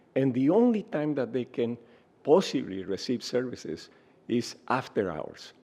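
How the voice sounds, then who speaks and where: With a Spanish accent, a man speaks at a moderate pace in a fairly high pitch, his dark, mellow tone carrying vocal fry. His pitch swings very widely. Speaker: health researcher and center director. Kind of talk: interview. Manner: hesitant, many fillers.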